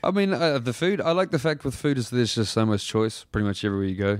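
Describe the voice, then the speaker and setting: A man with a New Zealand accent on a very clean recording with a silent background. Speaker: professional wrestler. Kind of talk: casual chat. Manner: monotone; laid-back.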